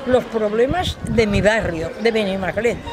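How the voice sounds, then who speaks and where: Over music in the background and with audible room echo, a woman speaks at a fairly slow pace with lively intonation. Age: 80s+. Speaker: local resident. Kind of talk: testimony.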